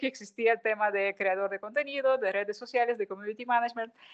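Speaking fairly quickly, a woman uses a fairly high pitch and fairly even intonation. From Ukraine. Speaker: food marketing consultant and content creator. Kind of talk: interview.

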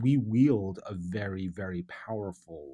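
Speaking in a New York accent, a man has a very deep, low voice with a dark, mellow tone. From US, New York City. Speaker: advertising creative director. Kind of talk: interview.

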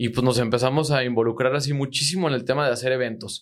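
Talking very fast, a man at a medium pitch uses ordinary pitch variation. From Mexico, Zitácuaro, Michoacán. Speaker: agricultural marketer and entrepreneur. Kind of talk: casual interview. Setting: studio.

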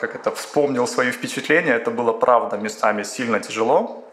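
A man speaks at a medium pitch with ordinary pitch variation. There is noticeable background noise. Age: 40s. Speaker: management consultant. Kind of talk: interview.

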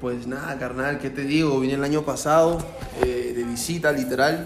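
Amid audible room echo and noticeable background noise, a man talks at a fairly quick pace with monotone, flat intonation. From Peru, Lima. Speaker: rapper. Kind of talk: casual chat.

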